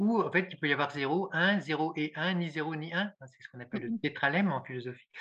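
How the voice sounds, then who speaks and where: In a quiet background, a man with a fairly high pitch and a bright, sharp tone speaks with ordinary pitch variation. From rural France. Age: 60s. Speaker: former engineer turned philosopher. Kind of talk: podcast interview. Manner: halting, many repetitions.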